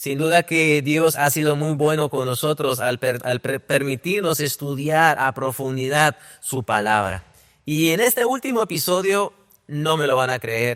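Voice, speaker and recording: A man with a plain, everyday voice, a fairly high pitch, a fairly slow pace and ordinary pitch variation. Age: young. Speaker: podcast host. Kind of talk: casual chat.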